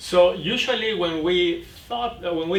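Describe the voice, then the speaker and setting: A man with a Mexican accent speaks at a moderate pace. Noticeable background noise and audible room echo surround him. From Mexico. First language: Spanish. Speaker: boating safety instructor. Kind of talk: lecture. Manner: halting.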